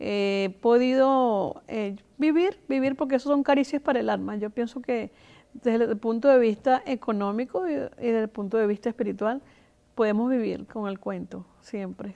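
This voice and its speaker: A woman's fairly high, dark and mellow voice with ordinary pitch variation, a moderate pace and a quiet background. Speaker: storyteller, cultural promoter and early-education teacher. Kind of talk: interview answer.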